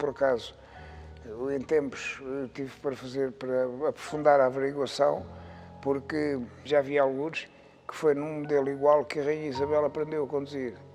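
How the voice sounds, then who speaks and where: Over music in the background, a man with a fairly high pitch speaks at a moderate pace in a monotone, flat intonation, with long, frequent pauses. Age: 70s. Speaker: classic car collector. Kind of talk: interview answer.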